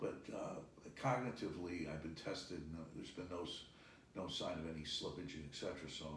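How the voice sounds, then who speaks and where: Somewhat breathy and very deep, a man's voice moves at a fairly quick pace with audible room echo. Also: ordinary pitch variation. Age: 60s. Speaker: business executive. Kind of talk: interview.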